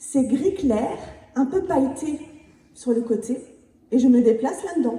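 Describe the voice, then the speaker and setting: Lively intonation from a woman with a high pitch and a slight Picard accent, at a fairly slow pace with long, frequent pauses. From Picardy, northern France. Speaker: near-death experience witness. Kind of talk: testimony.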